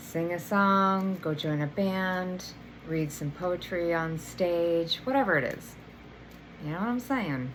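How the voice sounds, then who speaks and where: Audible room echo follows a woman who speaks at a fairly low pitch and a very slow pace. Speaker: energy healer and oracle card reader. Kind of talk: tarot oracle reading. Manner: casual, filler-heavy.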